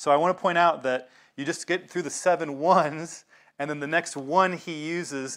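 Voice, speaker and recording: In a very clean recording with a silent background, a man with an American accent talks at a fairly quick pace. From US South. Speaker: pastor. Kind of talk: sermon. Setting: congregation meeting in a synagogue.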